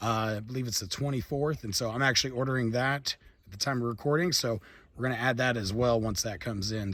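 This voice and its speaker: A man talks at a very fast pace in a medium pitch. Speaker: gun reviewer YouTuber. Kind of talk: product review. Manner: casual, filler-heavy.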